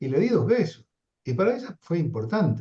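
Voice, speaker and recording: A man speaks with an Argentine accent in a dark, mellow tone. His pitch swings very widely, with vocal fry. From Argentina. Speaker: psychoanalyst lecturer. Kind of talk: lecture discussion.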